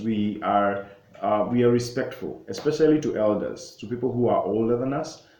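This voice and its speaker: A man speaks at a fairly quick pace in a medium pitch with a dark, mellow tone and ordinary pitch variation, with audible room echo. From Kenya. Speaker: travel vlogger. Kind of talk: casual explainer vlog. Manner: halting, many fillers and self-corrections.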